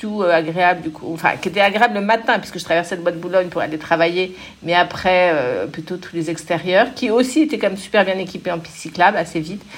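Her pitch sits in the medium range. This woman keeps a moderate tempo. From Paris, France. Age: 50s. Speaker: bike rental company executive. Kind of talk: interview. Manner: hesitant, many fillers.

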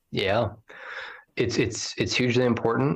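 There's a slight breathiness as this man talks, with little sound behind him. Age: 40s. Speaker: state party chair. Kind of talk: interview.

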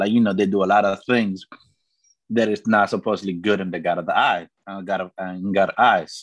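A man's fairly low, monotone, flat voice at a fairly quick pace. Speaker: podcast co-host. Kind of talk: casual chat.

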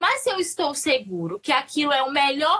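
At a fairly slow pace, a woman with a Minas Gerais accent speaks in a bright, sharp tone. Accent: Minas Gerais Brazilian Portuguese, noticeable. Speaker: perinatal psychologist. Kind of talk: casual chat. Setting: online live stream.

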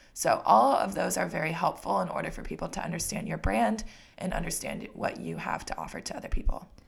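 Over noticeable background noise, a speaker goes at a very fast pace with an American accent. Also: woman. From Washington State, US Pacific Northwest. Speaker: podcast co-host, small business owner. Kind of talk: casual chat. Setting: studio microphone.

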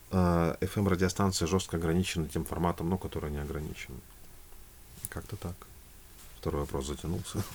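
A very deep, low male voice with vocal fry, ordinary pitch variation, a moderate pace and long, frequent pauses. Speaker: singer and voice-over announcer. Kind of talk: casual chat.

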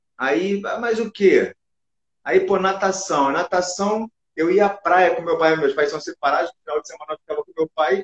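The speaker is a man talking at a moderate pace. His pitch rises and falls in an ordinary way. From Brazil, Rio de Janeiro. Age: 40s. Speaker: basketball coach. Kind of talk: casual interview chat. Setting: online live stream.

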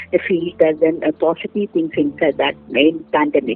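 A woman is speaking here. Her pitch makes very wide swings. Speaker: airline and travel trainer. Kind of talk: interview. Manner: halting, many fillers and repetitions.

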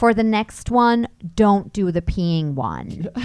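In an American accent, a woman speaks with a normal speaking voice at medium pitch. Her intonation is lively, and the recording is very clean with a silent background. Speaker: actress and voice actor. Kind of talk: casual chat.

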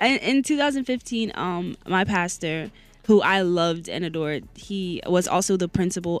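A woman with a fairly low voice talks while music plays behind her. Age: 20s. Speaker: college radio host. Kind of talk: casual chat; news reading. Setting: radio studio.

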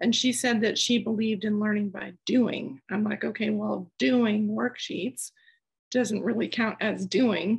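A woman speaks fairly slowly at a fairly high pitch with vocal fry. Her pitch varies in an ordinary way against a quiet background. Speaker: poet reading own work. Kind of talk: poetry reading and discussion.

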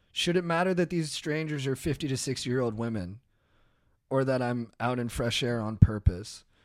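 In an ordinary speaking voice, a man with an American accent speaks at a moderate pace with lively intonation, recorded very cleanly against a silent background. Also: medium pitch for a man. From Orange County, California. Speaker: podcaster and comedian. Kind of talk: casual chat.

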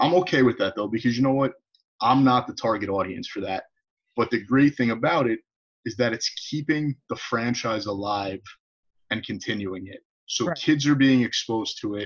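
A man speaks at a moderate pace with an American accent. He has a plain, everyday voice at medium pitch. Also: ordinary pitch variation. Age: 30s. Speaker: podcast host, teacher. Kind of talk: casual interview chat.

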